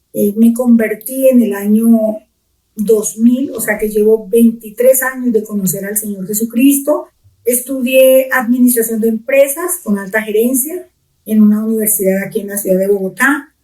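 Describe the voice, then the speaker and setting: At a fairly slow pace, a woman speaks with a fairly high pitch, a dark, mellow tone and fairly even intonation. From Colombia, Pitalito, Huila. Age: middle-aged. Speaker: pastor. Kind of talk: testimony.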